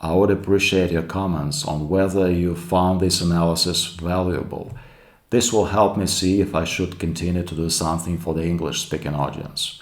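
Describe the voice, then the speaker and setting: Amid audible room echo, a man with a Russian accent speaks in a very deep, low pitch with fairly even intonation. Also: moderate pace. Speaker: YouTube commentator. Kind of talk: commentary monologue.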